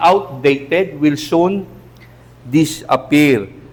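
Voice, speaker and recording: A man's fairly high-pitched voice with lively intonation and audible room echo. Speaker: pastor. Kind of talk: sermon. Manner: animated.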